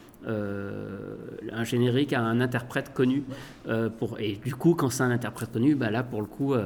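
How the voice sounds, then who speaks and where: Background music accompanies the clip. A man speaks over it at a moderate pace, his pitch varying in an ordinary way. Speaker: author and radio host. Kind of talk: interview. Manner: halting.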